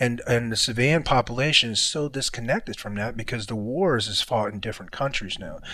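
With an ordinary speaking voice, a man talks at a fairly quick pace with hardly any pauses, at a medium pitch with ordinary pitch variation. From born in a war-torn country, raised in US. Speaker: former Green Beret. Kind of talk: casual chat.

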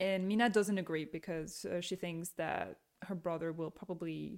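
Recorded very cleanly with a silent background, a woman of medium pitch speaks at a moderate pace with ordinary pitch variation. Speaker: podcast co-host. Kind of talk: book recommendation; casual chat. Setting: kitchen table home studio. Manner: loud.

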